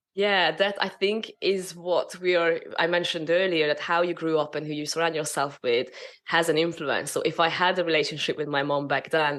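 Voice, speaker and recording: The speaker has a Hungarian accent and keeps a moderate pace. There are hardly any pauses. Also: woman, fairly low pitch for a woman, fairly even intonation. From Hungary. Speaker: spiritual business mentor. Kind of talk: interview. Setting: podcast.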